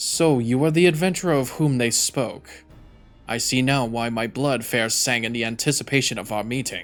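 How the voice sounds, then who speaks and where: Faint music plays in the background as a man puts on a character voice. He speaks at medium pitch and a moderate pace. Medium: game stream. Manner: curt, archaic.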